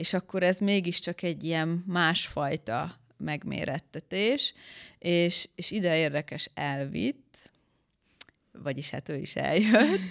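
Speaking at a very slow pace, a woman with a fairly low pitch uses lively intonation in a very clean recording with a silent background and a dry, close sound with no echo. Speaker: beauty pageant winner. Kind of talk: interview.

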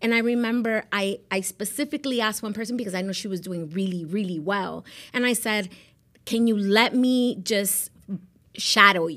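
A woman speaks with an American accent at a moderate pace and medium pitch, using ordinary pitch variation. Her tone is bright and sharp, and the recording is very clean with a silent background. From South Florida (Miami). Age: 40s. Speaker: real estate agent. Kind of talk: interview.

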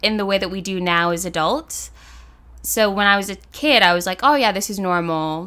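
A woman with an American accent speaks at a moderate pace and a medium pitch, with ordinary pitch variation. Her tone is bright and sharp, and the recording is very clean with a silent background. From US. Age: 20s. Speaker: law student. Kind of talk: casual chat.

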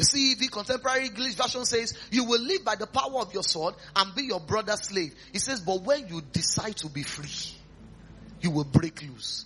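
A man with a Nigerian accent speaks in a raised, projected voice at a high pitch. His tone is animated, with noticeable background noise. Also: lively intonation, moderate pace. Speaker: pastor. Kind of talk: revival sermon retelling Bible stories to a live congregation. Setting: church. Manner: animated storytelling with rhetorical questions and chuckles; repetitive, emphatic exhortation leading call-and-response prayer.

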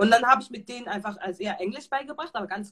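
A woman speaks at a very fast pace. Her pitch is medium with ordinary variation. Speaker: founder of youth creative workshops. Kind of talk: interview. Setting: live stream. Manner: halting, repeats words.

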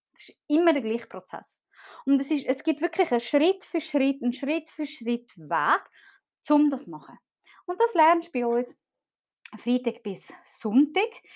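Speaking at a fairly slow pace with long, frequent pauses, a woman uses a high pitch, very wide pitch swings and big swings in loudness. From Switzerland, Zurich. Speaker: marketing podcast host for therapists. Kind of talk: live stream talk to audience.

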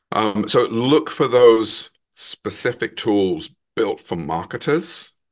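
Against a quiet background, a man with an English accent speaks very slowly at a medium pitch, his intonation lively. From England, London. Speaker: product marketing executive. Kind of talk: podcast interview.

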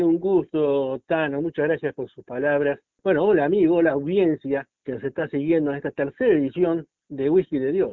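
Here is a man with an unremarkable speaking voice, fairly high pitch and ordinary pitch variation. He goes at a moderate pace with big swings in loudness. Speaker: football podcast co-host. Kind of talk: casual sports talk. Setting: remote call with co-host. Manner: formal.

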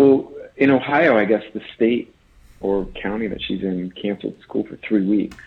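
Speaking at a fairly slow pace, a man talks in an American accent. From rural Iowa. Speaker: charity auctioneer. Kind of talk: casual chat.

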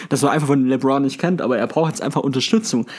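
Noticeable background noise accompanies a man talking at a fairly high pitch. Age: 20s. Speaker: sports podcast co-host. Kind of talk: casual chat.

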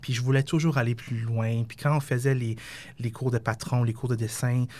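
Somewhat breathy, a man talks at a moderate pace on a very clean recording with a silent background. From Quebec, West Island of Montreal. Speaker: fashion designer and company founder. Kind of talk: interview.

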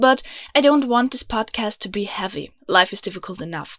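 With an Austrian accent, a woman talks in a fairly high voice with lively intonation, recorded very cleanly against a silent background with a dry, close sound and no echo. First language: German. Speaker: podcast host. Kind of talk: scripted podcast intro, personal and heartfelt. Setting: home recording in a closet.

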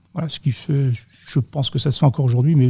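At a fairly quick pace, a man speaks with a dark, mellow, somewhat breathy tone, a medium pitch, and fairly even intonation. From western France, Vendée. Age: 40s. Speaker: sales and customer service professional. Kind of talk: interview.

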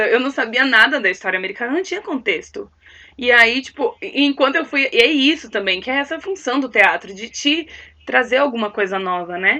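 A woman speaks in a raised, projected voice at a high pitch, moving at a moderate pace. Her tone is bright and sharp, with very wide pitch swings. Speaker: actress and singer. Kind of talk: casual chat.

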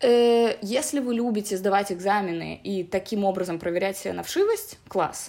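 A woman with a dark, mellow tone speaks at a medium pitch and a moderate pace, with ordinary pitch variation and hardly any pauses, on a very clean recording with a silent background. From Belarus, Minsk. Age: 20s. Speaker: English teacher. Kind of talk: casual interview.

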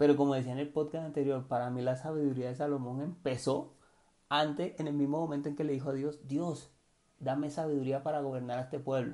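A man's fairly high voice with a Cartagena Colombian accent, flat monotone intonation and a fairly quick pace. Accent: Cartagena coastal Colombian, drops R sounds. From Cartagena, Colombian Caribbean coast. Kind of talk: casual devotional monologue. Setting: home recording at night. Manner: hesitant, many fillers and repetitions.

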